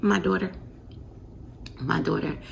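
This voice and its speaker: Quiet and at a moderate pace, a woman talks over noticeable background noise. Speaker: vlogger, mom. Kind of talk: casual vlog talk to camera. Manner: quiet, talking low.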